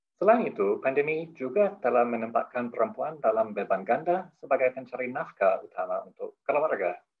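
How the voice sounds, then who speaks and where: With hardly any pauses, a man talks fairly quickly. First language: not Indonesian (speaking Indonesian). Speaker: head of a development program, opening speaker. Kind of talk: formal opening speech. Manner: halting, with self-corrections; formal.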